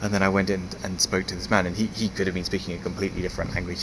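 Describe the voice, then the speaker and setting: Amid noticeable background noise, a man speaks in a very deep, low pitch with fairly even intonation. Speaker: foreign resident in Japan vlogger. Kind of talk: casual talk to camera. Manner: rambling, hesitant.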